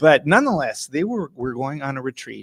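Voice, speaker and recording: A man with an American accent speaks at a moderate pace in a fairly high pitch, recorded very cleanly with a silent background and a dry, close sound with no echo. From Minnesota, Hastings near Saint Paul. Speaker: chiropractor and acupuncturist. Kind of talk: interview, telling a story.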